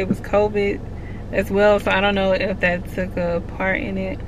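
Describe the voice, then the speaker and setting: With an American accent, a woman of medium pitch speaks in fairly even intonation, her voice carrying audible room echo amid noticeable background noise. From Texas, Houston. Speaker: air force service member, vlogger. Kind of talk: casual Q&A vlog. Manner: slow, drags words.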